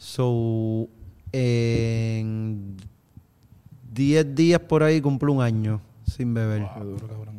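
A man of medium pitch speaks at a very slow pace. He leaves long, frequent pauses and shows ordinary pitch variation. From Puerto Rico, countryside. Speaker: musician. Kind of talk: casual chat.

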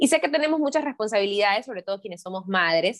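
A woman talks with lively intonation at a medium pitch. She has an unremarkable speaking voice. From Santa Ana. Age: 20s. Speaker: entrepreneur and sales coach. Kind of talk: interview.

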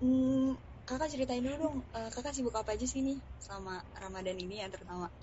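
A woman speaks with a high pitch and ordinary pitch variation. Her pace is very fast. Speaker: student live-stream host. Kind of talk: live-stream interview.

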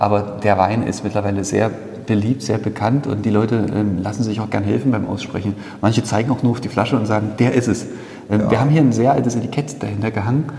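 A man's fairly low voice at a very fast pace, with ordinary pitch variation, noticeable background noise and audible room echo. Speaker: winemaker. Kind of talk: casual interview during wine tasting. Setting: wine cellar. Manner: hesitant, many fillers.

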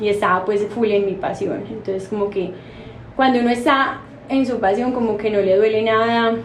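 A woman with an Antioquian accent speaks at a moderate pace in a fairly high voice, her intonation fairly even, with audible room echo and noticeable background noise. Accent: Colombian paisa Spanish. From Colombia, Medellín (paisa). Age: 30s. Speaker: pastry chef and bakery owner. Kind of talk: interview.

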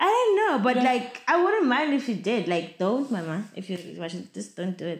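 Noticeable background noise sits behind a woman with a fairly high pitch. She moves at a moderate pace with very wide pitch swings. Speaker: online personality. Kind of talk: casual chat.

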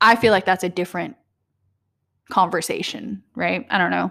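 A soft-spoken woman's voice with vocal fry, medium pitch and ordinary pitch variation. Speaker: podcaster. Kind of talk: casual solo podcast monologue. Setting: home recording, alone. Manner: halting, stuttering, speaks softly; stream-of-consciousness, filler-heavy.

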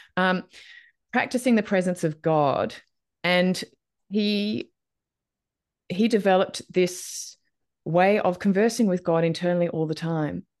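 A woman of medium pitch with ordinary pitch variation, at a fairly slow pace with long, frequent pauses, against a quiet background. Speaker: podcast host. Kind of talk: casual interview conversation.

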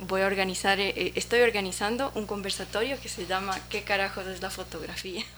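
A woman at medium pitch keeps her intonation fairly even while noticeable background noise is heard. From Ecuador. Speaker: photographer. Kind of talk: interview. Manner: halting.

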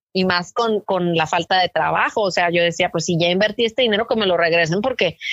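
A woman with a normal speaking voice talks at a fairly quick pace, medium pitch and ordinary pitch variation. Her loudness stays very even, and the sound is dry and close with no echo. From Mexico, Tijuana (US border). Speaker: journalist and podcaster. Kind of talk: interview. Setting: phone call.

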